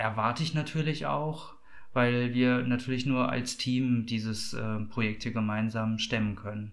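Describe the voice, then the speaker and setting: The speech moves at a fairly slow pace with fairly even intonation. Audible room echo surrounds it. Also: man. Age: 40s. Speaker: project coordinator of a queer community café. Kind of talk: interview. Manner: hesitant, many filler sounds.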